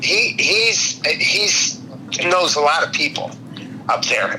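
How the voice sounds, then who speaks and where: A man speaks amid noticeable background noise. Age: 70s. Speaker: customer, car enthusiast. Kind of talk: casual chat.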